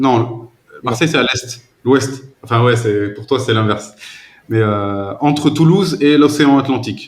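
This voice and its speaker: At a fairly slow pace, a man with a plain, everyday voice talks at a medium pitch with ordinary pitch variation. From southwest France. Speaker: language tutor. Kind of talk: casual chat.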